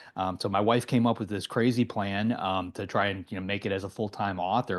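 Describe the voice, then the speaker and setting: A man with an American accent talks at a very fast pace. His intonation is monotone and flat, and the background is quiet. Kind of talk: interview.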